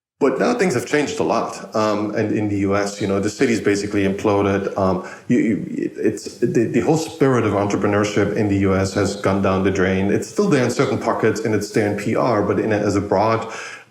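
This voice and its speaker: A man with a German accent, fairly low pitch and ordinary pitch variation, at a fairly quick pace with hardly any pauses, over noticeable background noise and audible room echo. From Germany. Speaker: podcast host. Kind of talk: casual interview chat. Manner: repetitive, halting.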